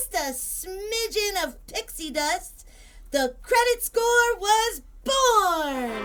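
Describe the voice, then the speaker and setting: Doing a put-on character voice, a woman swings very widely in pitch over clear background noise. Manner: storybook telling, sassy.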